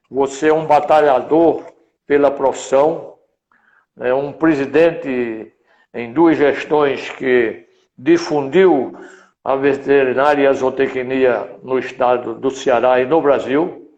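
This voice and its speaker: At a very slow pace, a man speaks with fairly even intonation and a fairly high pitch. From Rio Grande do Norte, Brazil. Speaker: veterinarian, professional council president. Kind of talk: interview. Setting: online live stream.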